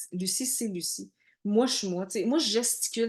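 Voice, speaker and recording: The speaker is female and moves at a fairly quick pace. Her pitch rises and falls in an ordinary way. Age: 40s. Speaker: network marketing coach. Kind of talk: online training workshop. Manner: loud, animated.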